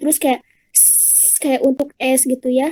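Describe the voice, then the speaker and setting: In a dry, close recording with no echo, a woman speaks at a high pitch in a shrill voice with a dark, mellow tone. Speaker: public speaking speaker. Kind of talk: online talk and Q&A. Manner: casual, chatty.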